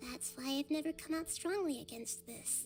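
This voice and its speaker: A put-on character voice, female-sounding, with clear music in the background. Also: moderate pace. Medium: video game. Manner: soft, measured, thoughtful.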